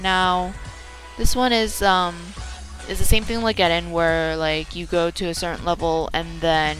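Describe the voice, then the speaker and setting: With music in the background, a woman speaks at a fairly slow pace and medium pitch with ordinary pitch variation. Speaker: gaming video creator. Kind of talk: casual gameplay commentary.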